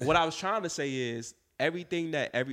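Speaking at a moderate pace, a man sounds animated, with ordinary pitch variation. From Atlanta area, Georgia (moved from Florida at seven). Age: 20s. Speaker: clothing designer. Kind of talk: casual chat.

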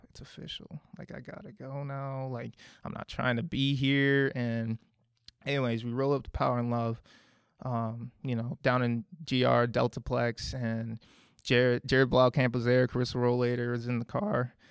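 This man has a medium-pitched, unremarkable speaking voice with an American accent. He keeps a moderate pace and fairly even intonation, his loudness swings widely, and the sound is dry and close with no echo. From Minnesota. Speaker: church member sharing testimony. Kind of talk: testimony. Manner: casual, filler-heavy.

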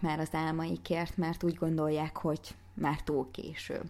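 Her voice has a dark, mellow tone and a fairly low pitch as a woman speaks at a moderate pace. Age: 30s. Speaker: fitness coach and podcaster. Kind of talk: motivational monologue.

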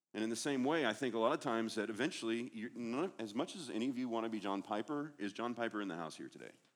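With hardly any pauses, a man speaks at a very fast pace with ordinary pitch variation. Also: medium pitch for a man. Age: 40s. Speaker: guest preacher. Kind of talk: sermon.

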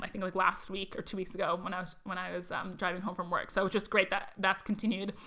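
A woman talks very fast in a bright, sharp tone. Her intonation is monotone and flat. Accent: American. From Arizona, US Southwest. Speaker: tech industry professional. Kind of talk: casual interview. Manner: fast talker.

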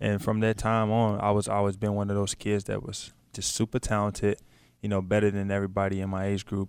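A man's fairly low voice at a fairly quick pace, in a very clean recording with a silent background. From Louisville, Kentucky. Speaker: former college basketball player. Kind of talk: interview.

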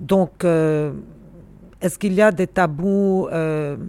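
A woman talks very slowly in a dark, mellow tone at a medium pitch. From Lebanon, Beirut. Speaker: university dean and historian. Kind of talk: interview.

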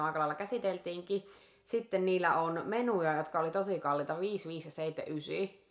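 A woman speaks with a fairly low pitch and ordinary pitch variation over noticeable background noise. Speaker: restaurant review podcast host. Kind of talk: casual chat.

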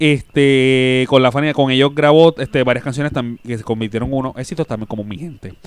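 A man's normal speaking voice at medium pitch, fairly quick in pace, with ordinary pitch variation and big swings in loudness. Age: 30s. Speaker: podcast co-host. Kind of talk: casual chat.

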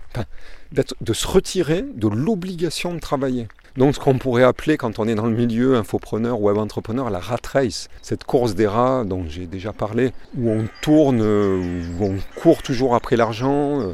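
With a dark, mellow tone, a man talks at a fairly slow pace with lively intonation. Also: medium pitch for a man. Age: 50s. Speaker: podcaster. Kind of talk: motivational monologue. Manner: halting.

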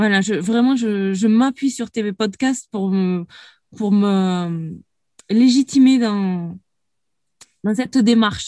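A woman speaks very slowly at a medium pitch, with ordinary pitch variation and long, frequent pauses. Her tone is dark and mellow, and the sound is dry and close with no echo. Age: 30s. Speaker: former coaching client. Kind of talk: interview. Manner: halting.

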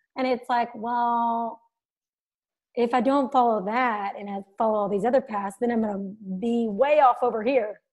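With an American accent, a woman speaks at a moderate pace in a fairly high pitch. Her intonation is fairly even, and the background is quiet. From US South. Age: 30s. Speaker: podcast host. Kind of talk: casual interview chat.

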